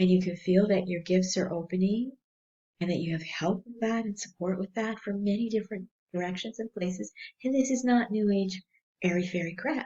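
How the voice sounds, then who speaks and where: A woman speaks at a fairly quick pace in a medium pitch, her tone dark and mellow and somewhat breathy, with ordinary pitch variation. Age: 60s. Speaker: spiritual counselor and energy healer. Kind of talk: spiritual teaching monologue. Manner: hesitant with fillers.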